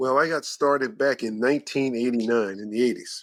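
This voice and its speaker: On a very clean recording with a silent background, a man talks at a fairly quick pace and medium pitch in an ordinary speaking voice. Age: 60s. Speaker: personal trainer. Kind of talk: podcast interview.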